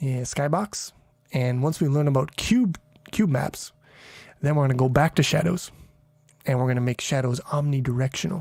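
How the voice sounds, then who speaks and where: Pausing long and often, a man speaks at a moderate pace with ordinary pitch variation. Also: fairly high pitch for a man. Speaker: programming streamer. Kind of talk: casual live stream. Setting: home live stream at night. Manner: quieter now; loud.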